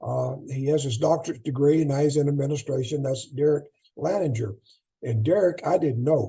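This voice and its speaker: This man's voice is somewhat breathy with a dark, mellow tone and a fairly high pitch, moving at a fairly quick pace with ordinary pitch variation. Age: 80s+. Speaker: track and field coach. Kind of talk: clinic talk. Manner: halting.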